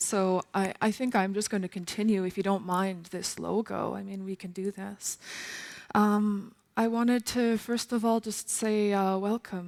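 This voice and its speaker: Her pitch sits at a medium level for a woman. She speaks at a fairly slow pace with monotone, flat intonation. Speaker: multidisciplinary composer and new media artist. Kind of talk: lecture performance. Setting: stage with audience.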